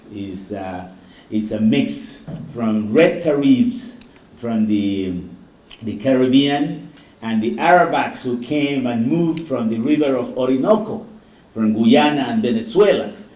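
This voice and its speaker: A man talks at a fairly slow pace with very wide pitch swings. Room echo is audible. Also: medium pitch for a man. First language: Garifuna. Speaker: doctor, keynote speaker. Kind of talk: keynote speech.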